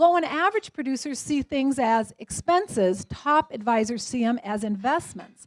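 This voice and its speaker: Dry and close with no echo, a woman speaks with an American accent at a high pitch. Her tone is animated and her intonation lively. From US Midwest (South Dakota). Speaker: business coach for financial advisors. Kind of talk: seminar talk. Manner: fast.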